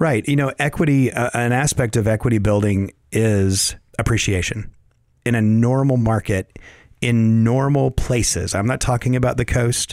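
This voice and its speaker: With a Southern US accent, a man talks at a moderate pace and medium pitch, his intonation fairly even and loudness very even, on a very clean recording with a silent background. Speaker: real estate agent and property manager. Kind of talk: informative conversational discussion.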